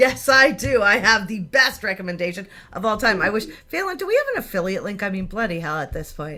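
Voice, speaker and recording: Bright and sharp in tone, a woman speaks at a fairly quick pace in a medium pitch. Her delivery is animated, with lively intonation and big swings in loudness. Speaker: marketing coach hosting Q&A. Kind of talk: live Q&A session.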